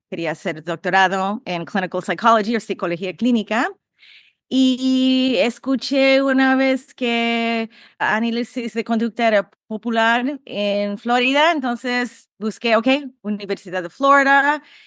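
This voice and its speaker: Her voice fairly high, a woman with an English accent speaks at a fairly slow pace with ordinary pitch variation, in a dry, close sound with no echo over a quiet background. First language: English (speaking Spanish). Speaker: behavior analysis professor. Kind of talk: podcast interview. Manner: halting.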